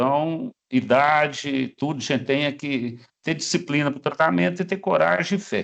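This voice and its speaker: An ordinary speaking voice moves at a moderate pace against a quiet background. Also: man. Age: 60s. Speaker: cancer survivor. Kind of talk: testimony.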